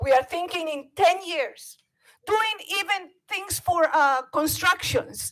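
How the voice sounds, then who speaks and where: A woman with a Bolivian accent talks at a very slow pace. Her pitch is extremely high. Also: lively intonation. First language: Spanish. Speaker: public commenter, parent. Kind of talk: public comment at board meeting. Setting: public board meeting.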